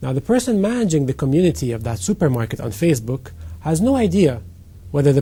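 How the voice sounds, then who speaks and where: A man's somewhat breathy voice, dark and mellow in tone and fairly high in pitch, races at a very fast pace with very wide pitch swings. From Egypt. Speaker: company CEO. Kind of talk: interview.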